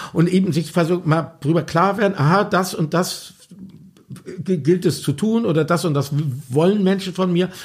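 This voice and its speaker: A high-voiced man keeps his loudness very even and his intonation fairly even, moving at a moderate pace with long, frequent pauses. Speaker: pop musician and author. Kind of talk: interview. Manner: halting, many fillers.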